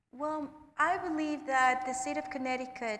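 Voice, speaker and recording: A woman with a high voice speaks in a Spanish accent, with ordinary pitch variation. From Puerto Rico. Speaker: nonprofit regional director; panelist. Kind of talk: panel discussion. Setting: stage with live audience.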